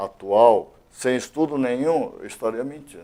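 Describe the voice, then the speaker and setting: Dark and mellow in tone, a man's voice moves at a fairly slow pace. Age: 60s. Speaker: retired police colonel, elected state deputy. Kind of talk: interview.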